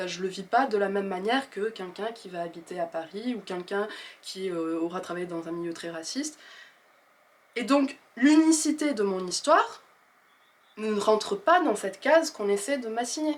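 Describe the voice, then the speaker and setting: In a slight southwestern French accent, the speaker moves at a moderate pace with very wide pitch swings and long, frequent pauses. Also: woman, medium pitch for a woman. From southwest France, rural Gers. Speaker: author and video creator. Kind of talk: casual monologue to camera. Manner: hesitant, with many fillers.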